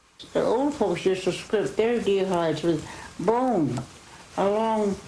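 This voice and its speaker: A woman with an American accent speaks at a medium pitch and a fairly slow pace. Her pitch varies in an ordinary way, with noticeable background noise behind her. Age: 80s+. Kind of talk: oral history interview.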